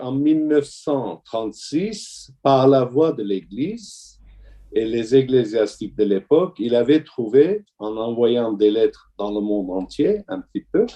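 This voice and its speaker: At a very slow pace, a man speaks at medium pitch with lively intonation. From Syria, Damascus (Armenian family). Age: 60s. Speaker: orthodox deacon. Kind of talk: testimony. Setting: video call. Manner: halting.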